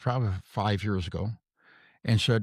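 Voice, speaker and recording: A somewhat breathy man speaks at a moderate pace with lively intonation in a very clean, silent-background recording that sounds dry and close with no echo. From US South (Florida). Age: 80s+. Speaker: retired actor. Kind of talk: interview testimony. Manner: halting.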